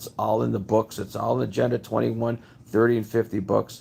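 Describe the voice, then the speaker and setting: The man speaks at a fairly quick pace, with vocal fry. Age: 60s. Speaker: home inspector and video blogger. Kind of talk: casual monologue. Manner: conversational, with many fillers.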